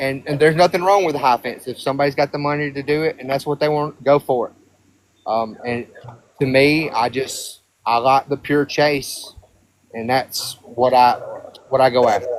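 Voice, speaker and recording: With a Southern US accent, a man talks at a moderate pace and a fairly high pitch, keeping his intonation fairly even. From Alabama. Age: 30s. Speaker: hunter. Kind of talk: casual chat.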